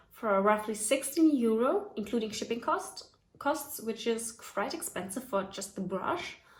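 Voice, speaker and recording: A woman with a fairly high voice and a German accent speaks at a fairly slow pace with lively intonation over noticeable background noise. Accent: non-native English, German. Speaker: hair tutorial YouTuber. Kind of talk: casual tutorial talk to camera.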